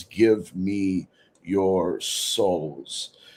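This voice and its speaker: A man puts on a character voice, pitched very deep and low. The sound is guttural. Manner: menacing, eerie.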